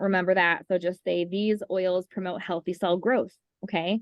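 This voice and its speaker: A woman talks at a medium pitch. Her intonation stays fairly even. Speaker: essential oils class teacher. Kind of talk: online class talk. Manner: fast.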